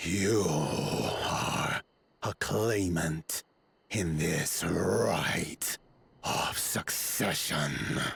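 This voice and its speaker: Doing a put-on character voice, a man speaks very slowly in a raspy, very deep, low register with ordinary pitch variation, the sound dry and close with no echo. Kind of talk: slow, archaic formal. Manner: aggressive, mad.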